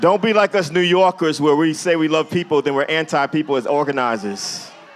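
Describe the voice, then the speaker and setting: A man's fairly high, animated voice with lively intonation over noticeable background noise. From New Jersey (Jersey City). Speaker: speaker and activist. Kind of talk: public talk to audience. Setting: museum event with live audience.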